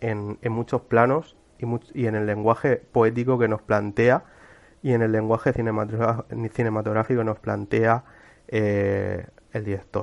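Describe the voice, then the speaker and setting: Against a quiet background, a man speaks at a medium pitch and fairly slow pace with monotone, flat intonation. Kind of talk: cultural commentary monologue. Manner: halting, many fillers and repetitions.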